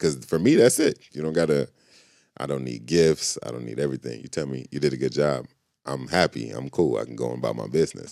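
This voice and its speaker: A man speaks in a very deep, low pitch. His tone is dark and mellow, with vocal fry. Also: ordinary pitch variation, fairly quick pace. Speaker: creative director. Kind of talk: casual chat. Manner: blunt, direct.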